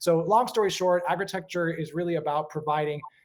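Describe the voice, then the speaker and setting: A man speaks with an American accent. His pitch is fairly high and his intonation fairly even. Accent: sounds American. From Europe, mixed Czech and British family, lived in several countries. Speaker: urban agriculture consultant. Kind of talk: conference self-introduction.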